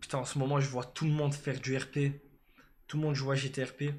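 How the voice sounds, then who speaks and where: A man with a somewhat breathy, fairly high-pitched voice, monotone, flat intonation and a moderate pace. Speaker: live streamer. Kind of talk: casual live stream chat.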